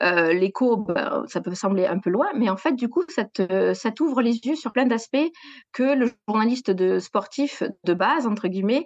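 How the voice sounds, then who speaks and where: In a southwestern French accent, a woman talks with lively intonation and a fairly high pitch, the sound dry and close with no echo against a quiet background. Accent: southwest French. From southwest France, Gers. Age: 40s. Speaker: sports journalist. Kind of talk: interview. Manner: hesitant, many fillers.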